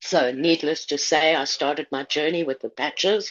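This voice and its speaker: Speaking at a moderate pace, a woman has a plain, everyday voice, fairly low in pitch, with fairly even intonation. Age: 60s. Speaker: testimonial speaker. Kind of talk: testimony.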